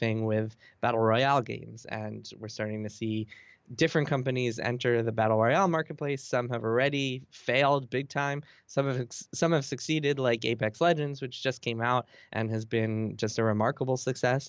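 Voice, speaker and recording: This man has an unremarkable speaking voice, medium in pitch with ordinary pitch variation. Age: 30s. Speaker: video game journalist. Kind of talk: casual interview.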